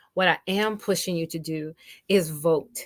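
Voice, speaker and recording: In a normal speaking voice with an American accent, a woman talks with a fairly low pitch and ordinary pitch variation, in a dry, close sound with no echo. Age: 60s. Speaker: radio host. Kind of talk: casual talk show monologue. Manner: conversational with frequent fillers.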